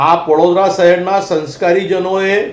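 Recorded amid noticeable background noise and audible room echo, a man speaks. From Vadodara, Gujarat, India. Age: 50s. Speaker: activist spokesperson. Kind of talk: public statement to media. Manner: impassioned.

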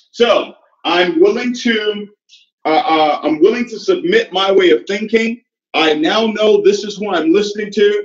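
Through audible room echo over a quiet background, a man talks at a fairly slow pace with a high pitch and lively intonation. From Nigeria. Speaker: network marketing leader. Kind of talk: motivational talk. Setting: stage with audience. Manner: animated. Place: home room. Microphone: video call.

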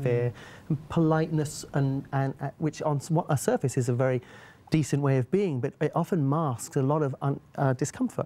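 The voice is dark, mellow and somewhat breathy, moving at a fairly quick pace with ordinary pitch variation. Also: man. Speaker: guest. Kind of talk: interview answer. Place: studio.

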